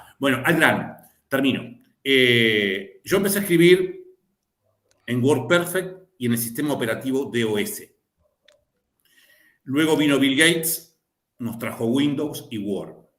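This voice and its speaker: A man speaks at a fairly high pitch and fairly slow pace, with lively intonation. Long, frequent pauses break his speech, and audible room echo surrounds it. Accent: Rioplatense. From Río de la Plata region (Argentina/Uruguay). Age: old. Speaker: lawyer and law lecturer. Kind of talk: panel discussion.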